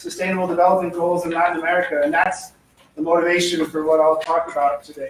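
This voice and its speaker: A man's high-pitched voice with fairly even intonation over noticeable background noise. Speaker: economist giving a seminar; professor. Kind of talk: seminar talk. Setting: lecture room with microphone. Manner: fast; hesitant with fillers.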